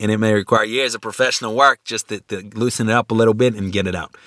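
A man with a medium pitch is heard in a dry, close sound with no echo. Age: 50s. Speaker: lecturer. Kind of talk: lecture. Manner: halting; repetitive filler-heavy.

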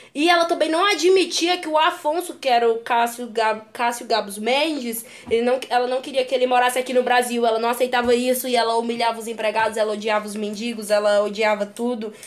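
Hardly pausing, the speaker goes at a fairly quick tempo with ordinary pitch variation. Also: woman, high pitch for a woman. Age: young. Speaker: podcast co-host. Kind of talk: casual chat.

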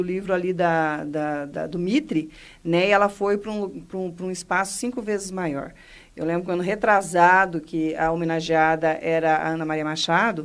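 A woman with an ordinary speaking voice talks at a moderate pace and a fairly low pitch, with ordinary pitch variation. The recording is very clean, with a silent background. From Paraná, Brazil. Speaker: cultural foundation director. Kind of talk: radio interview. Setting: radio studio.

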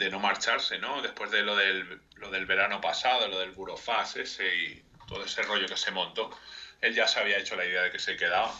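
Noticeable background noise sits behind the audio. The male speaker moves along fairly quickly. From Spain, Madrid. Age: 30s. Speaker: video game mod editor. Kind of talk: radio interview.

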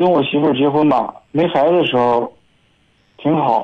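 This man's voice is fairly high in pitch. He speaks at a fairly slow pace. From Hebei, Shijiazhuang. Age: 20s. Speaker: caller. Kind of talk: phone-in conversation. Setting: phone call.

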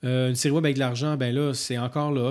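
A man speaks at a medium pitch in a Quebec accent, his intonation flat and monotone, on a very clean recording with a silent background. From rural Quebec. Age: 40s. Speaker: film and TV director. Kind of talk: casual interview chat.

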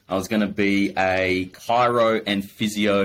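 In an Australian accent, a man speaks at a fairly low pitch with monotone, flat intonation, captured in a very clean recording with a silent background. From Adelaide, South Australia. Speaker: business owner. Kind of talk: casual interview.

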